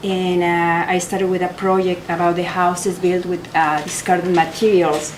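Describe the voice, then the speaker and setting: Amid audible room echo and noticeable background noise, a woman with a strong Mexican accent talks at a moderate pace and a medium pitch. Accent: heavy Mexican Spanish. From Mexico. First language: Spanish. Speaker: photographer. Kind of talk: artist talk. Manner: halting.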